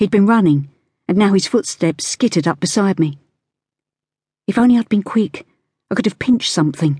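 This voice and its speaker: A woman's somewhat breathy, dark and mellow voice at medium pitch, with a fairly quick pace, lively intonation, long and frequent pauses, very even loudness, and a dry, close sound with no echo. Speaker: audiobook narrator. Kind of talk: audiobook narration, first-person, in character as a child. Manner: dramatic, storytelling with a child's voice and an old Nan voice.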